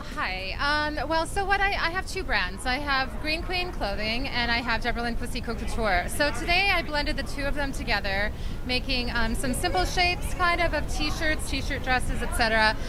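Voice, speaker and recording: A woman with an American accent speaks in a raised, projected voice at a high pitch and a moderate pace, with very wide pitch swings and hardly any pauses. Music plays in the background, and there is audible room echo. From Minnesota, rural. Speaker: fashion designer. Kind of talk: interview. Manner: hesitant, many fillers.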